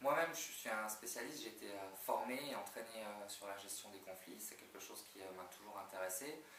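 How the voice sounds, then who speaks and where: A man speaks at a fairly quick clip with hardly any pauses, his fairly low voice moving in lively intonation. His loudness swings widely, and the room adds audible echo. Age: 40s. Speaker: job candidate, HR manager. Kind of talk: job interview. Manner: hesitant, many fillers.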